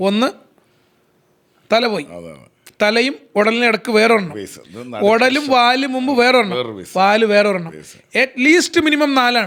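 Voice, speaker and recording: A man speaks at an extremely high pitch. His tone is bright and sharp, and his intonation is lively. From Kerala. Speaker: sports commentator. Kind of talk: interview answer.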